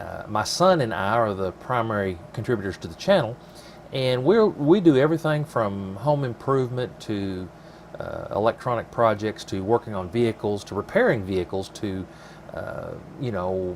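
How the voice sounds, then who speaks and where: With noticeable background noise around him, a man of medium pitch talks at a moderate pace, his intonation lively and his loudness swinging widely. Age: 40s. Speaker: DIY channel host. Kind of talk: casual video introduction and project talk. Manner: halting, with many fillers.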